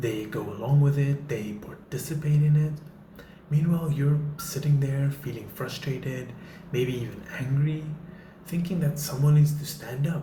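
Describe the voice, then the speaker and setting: Talking at a moderate pace with ordinary pitch variation, a man with a fairly high voice is heard over noticeable background noise and audible room echo. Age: 30s. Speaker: faith vlogger. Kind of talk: motivational talk to camera. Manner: casual, with filler words.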